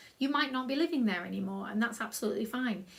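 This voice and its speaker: A woman in a South Yorkshire accent with ordinary pitch variation. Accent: own South Yorkshire accent, loves it. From South Yorkshire, England. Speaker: creative writing workshop leader. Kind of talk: tutorial. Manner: casual, upbeat.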